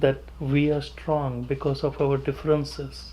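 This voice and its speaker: A man is speaking here. He has a Punjabi accent. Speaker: pediatrician. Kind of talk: interview. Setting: office.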